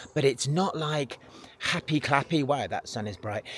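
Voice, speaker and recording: A man with an English accent and ordinary pitch variation. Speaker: travel vlogger. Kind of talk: casual vlog monologue. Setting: outdoors; retreat bedroom at night. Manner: hesitant with fillers; whispering.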